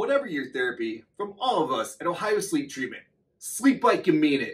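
Speaking at a moderate pace, a man uses very wide pitch swings. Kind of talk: promotional address to camera. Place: office.

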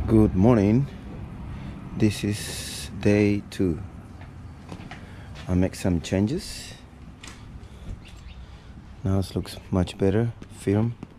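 The speech comes at a very slow pace with long, frequent pauses and fairly even intonation. Light background noise sits behind it. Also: man, fairly low pitch for a man. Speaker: travel vlogger. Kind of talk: casual vlog chat. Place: street. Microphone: phone near.

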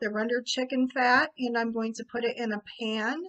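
A woman speaks at a moderate pace in a bright, sharp tone with monotone, flat intonation. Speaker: cooking show host. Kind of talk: tutorial. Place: kitchen. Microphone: webcam.

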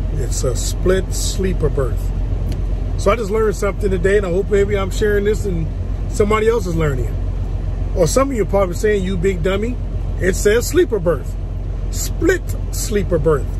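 A man talks at an even, middling speed while clear background noise runs underneath. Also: dry sound with no echo. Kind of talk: casual vlog chat. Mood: self-mocking, relaxed. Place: car. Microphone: phone near.

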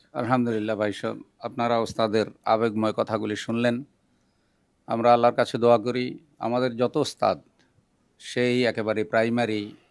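Monotone, flat intonation in a man's voice of medium pitch. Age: 50s. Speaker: Islamic preacher. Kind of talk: casual video introduction. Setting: at a private home.

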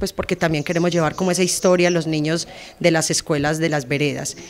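A woman's fairly low voice with fairly even intonation over light background noise. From Antioquia, Colombia. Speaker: heritage program instructor and tour guide; heritage program instructor, tour guide. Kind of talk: interview statement. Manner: hesitant, many filler sounds. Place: garden. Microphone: handheld.

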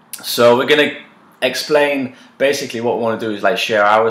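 A man is talking here. Light background noise and audible room echo come through. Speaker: co-host. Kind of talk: casual vlog chat. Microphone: camera far.

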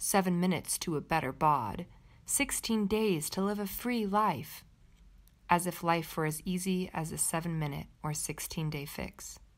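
The recording is very clean, with a silent background. A woman speaks in a normal speaking voice at a fairly low pitch with ordinary pitch variation. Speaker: meditation teacher. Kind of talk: guided meditation. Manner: slow, calm, soothing.

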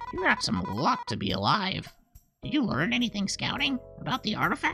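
A female-sounding put-on character voice comes at a fairly high pitch for a woman. The pace is moderate, with faint music in the background. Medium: role play. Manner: casual, sassy.

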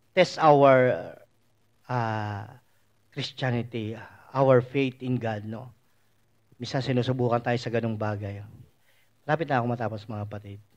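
Against a quiet background, a man speaks at a fairly slow pace. He leaves long, frequent pauses. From Philippines. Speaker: preacher. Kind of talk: sermon. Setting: church. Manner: animated, conversational preaching with frequent 'no?' tag questions. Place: hall.

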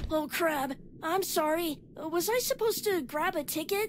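At a moderate pace, a put-on character voice speaks at an extremely high pitch over clear background noise. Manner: cocky, youthful, dramatic.

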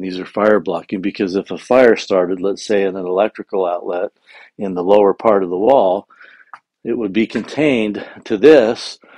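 A man with an unremarkable speaking voice talks at a moderate pace with ordinary pitch variation. The sound is dry with no echo, and the background is quiet. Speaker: contractor. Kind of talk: walkthrough explanation. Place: home room. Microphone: phone near.

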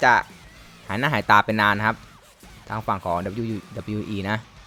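A man is speaking. Music plays in the background. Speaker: gamer and Thai dub commentator. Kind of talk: live game commentary. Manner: casual, friendly.

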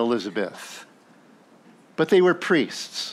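This man speaks very slowly, his voice fairly high in pitch. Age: 60s. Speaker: pastor. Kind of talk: sermon. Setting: church. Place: church.

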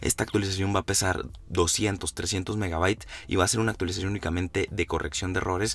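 Very fast and very deep, a man's low voice keeps a fairly even intonation. The recording is very clean, with a silent background. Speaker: tech YouTuber. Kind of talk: tutorial.

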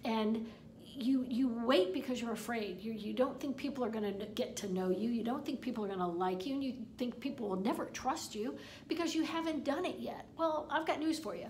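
Against noticeable background noise and audible room echo, a woman with a high pitch speaks at a moderate pace with lively intonation. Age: 50s. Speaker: online marketing coach. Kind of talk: tutorial. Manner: halting, repeats words.

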